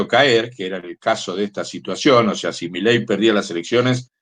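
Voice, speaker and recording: This man has a plain, everyday voice, speaking at a moderate pace in a medium pitch with ordinary pitch variation. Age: 60s. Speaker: union activist and journalist. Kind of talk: interview.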